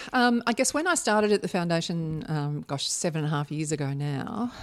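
A woman's fairly low voice in an Australian accent, with lively intonation and a moderate pace, in a very clean recording with a silent background. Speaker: charity foundation chief executive. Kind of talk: podcast interview.

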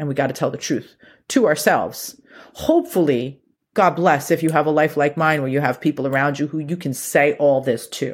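Her voice is very deep and low in pitch, and the woman keeps her intonation fairly even. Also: very clean recording, silent background. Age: 40s. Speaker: podcast host. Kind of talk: solo monologue. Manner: casual.

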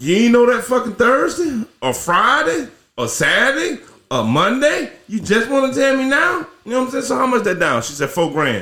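A man uses a raised, projected voice at an extremely high pitch. His pitch swings very widely. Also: moderate pace. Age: 40s. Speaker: podcast co-host. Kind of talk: casual chat.

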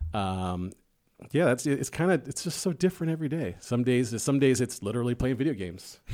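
With a Chicago accent, a man talks at a fairly quick pace in a medium pitch with very wide pitch swings, on a very clean recording with a silent background. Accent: Chicago American English. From Chicago, South Side. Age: 40s. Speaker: musician and college esports staff. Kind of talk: casual interview chat. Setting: studio.

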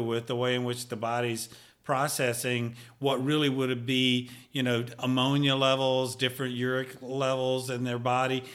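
The speaker has a Southern US accent and a monotone, flat intonation. The pace is moderate. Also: man. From Mississippi, US South. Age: 60s. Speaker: retired pharmaceutical industry professional. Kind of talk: casual interview chat. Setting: studio.

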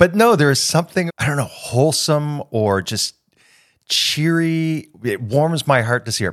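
On a very clean recording with a silent background and a dry, close sound with no echo, a man with a Canadian accent and a plain, everyday voice speaks at a fairly slow pace, with a fairly high pitch and lively intonation. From Canada. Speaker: podcast co-host, comedian. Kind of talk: casual chat.

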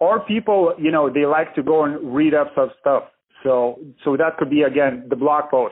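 This man speaks at a moderate pace, his pitch fairly high, and his volume stays very even. His is a plain, everyday voice with ordinary pitch variation. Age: 30s. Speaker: real estate marketing business owner. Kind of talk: podcast interview. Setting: phone call.

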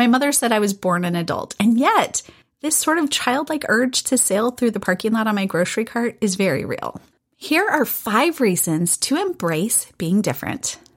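A woman with a fairly high pitch and very wide pitch swings talks at a moderate pace. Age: 40s. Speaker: podcast host. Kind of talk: solo podcast monologue.

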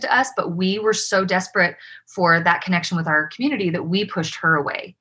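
A woman with a Utah accent, a bright, sharp tone and ordinary pitch variation. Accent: American, Utah. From Utah, Provo. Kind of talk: interview, personal story.

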